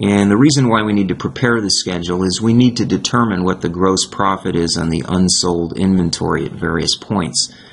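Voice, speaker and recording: Background noise is clearly noticeable. Through it, a man talks. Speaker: accounting instructor. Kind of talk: tutorial. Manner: halting, self-correcting.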